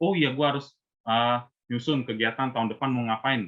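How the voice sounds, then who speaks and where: At a moderate pace, a man speaks in a plain, everyday voice with medium pitch. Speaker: invited speaker at Buddhist youth service. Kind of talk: talk to youth group. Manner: casual, conversational.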